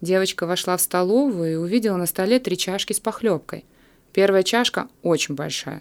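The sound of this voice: An unforced reading voice and an ordinary amount of pitch movement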